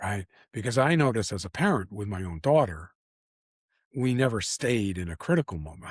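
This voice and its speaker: On a very clean, dry, close recording with a silent background and no echo, a man speaks somewhat breathily at a fairly quick pace in a fairly low pitch. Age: 70s. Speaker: personal growth coach and workshop leader. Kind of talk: casual interview conversation. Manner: halting with frequent repetitions.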